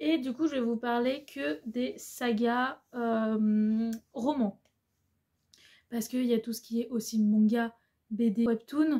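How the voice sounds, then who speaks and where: Her tone dark and mellow, a woman speaks in a high pitch with ordinary pitch variation. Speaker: booktuber. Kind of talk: casual book review vlog. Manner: hesitant, many filler sounds.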